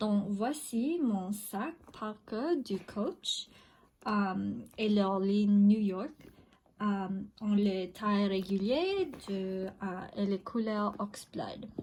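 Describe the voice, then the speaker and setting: A woman with a non-native accent speaks at a very slow pace, leaving long, frequent pauses. Her voice is somewhat breathy. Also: medium pitch for a woman, ordinary pitch variation. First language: not French (speaking French). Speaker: video blogger. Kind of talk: casual product show-and-tell. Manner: halting, many hesitations.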